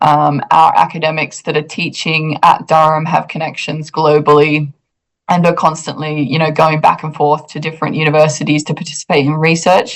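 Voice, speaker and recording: A woman with a very deep, low pitch speaks at a moderate pace in a monotone, flat intonation. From Australia. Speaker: university international recruitment officer. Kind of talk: interview answers.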